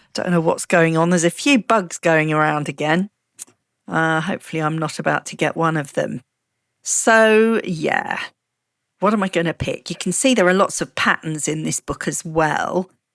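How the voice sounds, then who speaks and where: In a British accent, a woman with a fairly low pitch and ordinary pitch variation speaks at a moderate pace, with a dry, close sound with no echo on a very clean recording with a silent background. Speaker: craft youtuber. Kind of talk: tutorial. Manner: casual, chatty.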